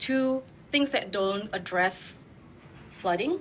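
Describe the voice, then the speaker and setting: Her voice sits at a medium pitch, and this woman uses ordinary pitch variation. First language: not English. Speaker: urban designer. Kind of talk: panel discussion.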